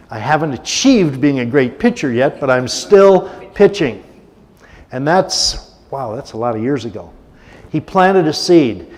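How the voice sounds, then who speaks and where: A man speaks at a moderate pace with a fairly high pitch. His voice makes very wide pitch swings. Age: 70s. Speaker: guest speaker at a church service. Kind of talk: sermon. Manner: conversational, with many filler words.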